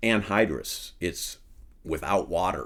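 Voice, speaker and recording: A man with a Midwestern US accent, speaking at a fairly slow pace. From Iowa. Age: 60s. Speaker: farmer turned soil researcher. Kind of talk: interview conversation. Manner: hesitant, many ums.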